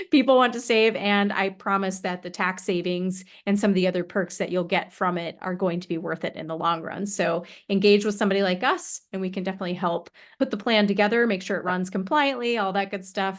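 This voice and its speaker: A woman at medium pitch, fairly quick in pace, with fairly even intonation over a quiet background. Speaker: retirement plan consultant. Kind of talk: interview. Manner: fast.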